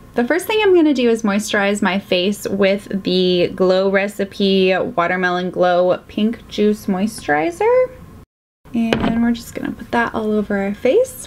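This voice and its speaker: With noticeable background noise around her, a woman speaks at a fairly slow pace. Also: ordinary pitch variation. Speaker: beauty vlogger. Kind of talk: casual vlog chat.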